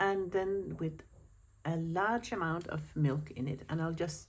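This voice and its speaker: A woman with a Danish accent, a fairly low pitch and lively intonation, at a very slow pace. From Denmark. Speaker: planner vlogger. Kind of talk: casual chat. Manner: hesitant, with fillers.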